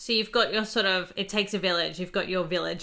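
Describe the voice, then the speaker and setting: A woman's medium-pitched voice with an Australian accent, fairly quick in pace and fairly even in intonation. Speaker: podcast host. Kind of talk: interview. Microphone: new recording software.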